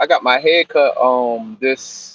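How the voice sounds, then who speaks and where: With a New York accent, a man speaks in a dry, close sound with no echo. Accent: New York accent, lighter than his barber's. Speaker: podcast co-host. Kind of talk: casual chat.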